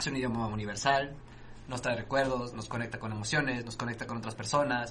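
A man's fairly quick speech with audible room echo. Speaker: podcast host. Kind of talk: casual chat.

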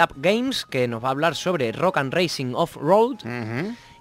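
Speaking at a moderate pace with an Andalusian accent, a man with a high pitch makes very wide pitch swings. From Andalusia, Spain. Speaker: podcast co-host. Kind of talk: casual chat; reading aloud.

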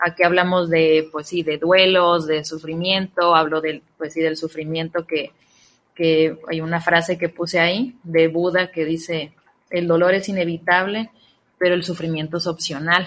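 Her voice is fairly low in pitch, with monotone, flat intonation. This woman speaks at a fairly slow pace. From Ciudad Obregón, Sonora, Mexico. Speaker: psychologist and author. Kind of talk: radio interview.

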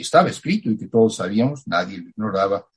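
A man speaks at a fairly quick clip. His voice is somewhat breathy. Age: 80s+. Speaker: writer. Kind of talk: interview. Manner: halting.

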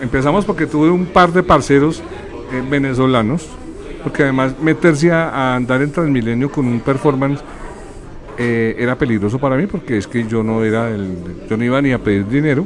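There is audible room echo and noticeable background noise. A man talks at a moderate pace with lively intonation. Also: medium pitch for a man. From Colombia. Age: 50s. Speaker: graphic designer and filmmaker. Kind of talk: interview. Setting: bar venue radio studio.

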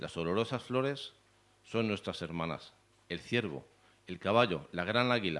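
Against a quiet background, a man with a Spanish accent talks at a fairly slow pace. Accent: Peninsular Spanish. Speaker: poet and event organizer. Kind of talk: poetry reading. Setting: stage with audience.

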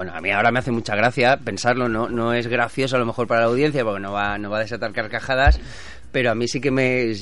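A man races along at a very fast pace, his medium pitch showing ordinary variation. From Spain, born in Barcelona. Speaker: businessman and former bullfighter. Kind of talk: casual chat.

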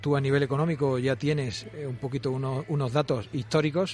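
An ordinary speaking voice from a man, fairly high in pitch, with fairly even intonation at a moderate pace. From Valladolid, Spain. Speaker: football sporting director. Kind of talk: radio interview. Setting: live broadcast from a restaurant.

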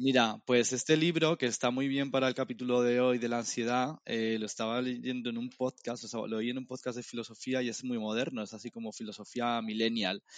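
At a fairly quick pace, a man with an unremarkable speaking voice talks at medium pitch with fairly even intonation. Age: 30s. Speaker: podcast co-host. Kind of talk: casual chat.

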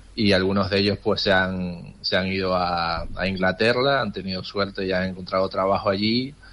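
With hardly any pauses, a man talks at a moderate pace in a very deep, low pitch and fairly even intonation. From Tenerife. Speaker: trade office worker abroad. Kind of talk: interview.

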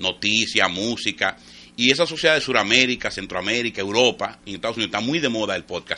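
Very fast delivery with lively intonation and a bright, sharp tone. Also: man. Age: 50s. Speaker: radio panelist. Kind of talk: casual chat.

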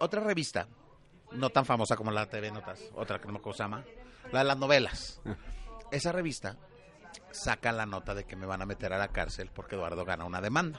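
A man with a Mexican accent talks at a fairly quick pace in an animated tone, his pitch swinging very widely between long, frequent pauses. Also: medium pitch for a man. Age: 40s. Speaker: TV entertainment presenter. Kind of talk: casual interview.

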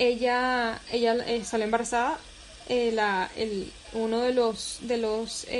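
A woman with a Caracas accent speaks in a fairly high pitch and a flat, monotone intonation over noticeable background noise. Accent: Venezuelan Spanish, Caracas. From Venezuela, Caracas. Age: 20s. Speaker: photographer. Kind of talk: casual interview.

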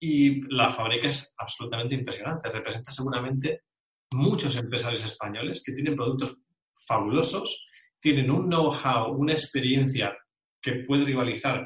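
A man with a normal speaking voice talks at a fairly quick pace, at a medium pitch with ordinary pitch variation. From Spain, Bilbao (Basque Country). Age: 40s. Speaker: referral marketing specialist. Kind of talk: interview.

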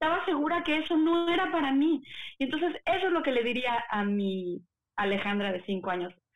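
Her voice is high and swings very widely in pitch. The woman keeps a moderate pace. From Puebla, Mexico. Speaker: opera singer. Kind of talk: casual interview.

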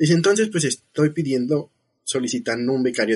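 Lively intonation from a man. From Mexico City. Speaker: biotechnologist. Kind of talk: casual chat.

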